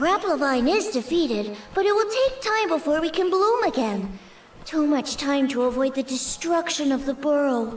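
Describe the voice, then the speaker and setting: Over clear background noise, a high-pitched, put-on character voice speaks at a moderate pace. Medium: video game. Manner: soft, gentle.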